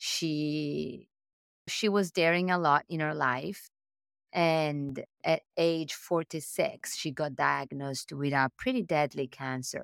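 In a very clean recording with a silent background, a woman speaks with an Italian accent, the sound dry and close with no echo. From Italy. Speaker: tech executive. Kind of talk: interview conversation. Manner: animated.

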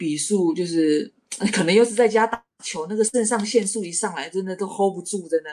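A woman talks in an ordinary speaking voice at medium pitch and a fairly quick pace, with ordinary pitch variation and big swings in loudness. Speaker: professional basketball player. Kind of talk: casual interview.

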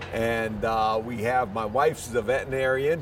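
There is noticeable background noise as a man with an American accent speaks at a moderate pace and medium pitch in a monotone, flat intonation. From New York City, the Bronx. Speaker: dairy farm owner. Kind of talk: interview. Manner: halting.

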